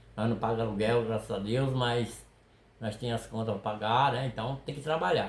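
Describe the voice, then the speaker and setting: A man speaks at medium pitch with a somewhat breathy voice. His pace is moderate and his intonation fairly even. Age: 60s. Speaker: fishing video creator, retired worker. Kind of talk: casual chat. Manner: halting.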